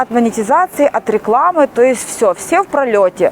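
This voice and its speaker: Over noticeable background noise, a woman with a high pitch talks at a fairly slow pace with very wide pitch swings. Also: dry, close sound with no echo. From Ukraine. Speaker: YouTube vlogger. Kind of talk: casual vlog monologue. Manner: hesitant, many filler sounds.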